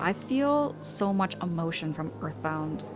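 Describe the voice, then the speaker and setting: Against noticeable background noise, a woman with a fairly low pitch speaks with lively intonation. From Canada, Ontario. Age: 30s. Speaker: streamer. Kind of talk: live game-stream chat. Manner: animated.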